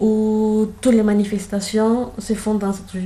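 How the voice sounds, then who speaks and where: Audible room echo and noticeable background noise surround a woman speaking fairly slowly at a medium pitch. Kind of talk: casual guided tour. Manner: hesitant, many fillers.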